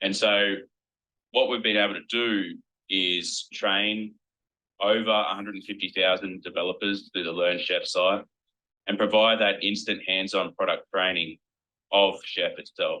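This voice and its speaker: Speaking with an Australian accent at a moderate pace, the voice keeps a monotone, flat intonation with long, frequent pauses. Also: man, fairly low pitch for a man. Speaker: company executive presenting product. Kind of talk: product presentation.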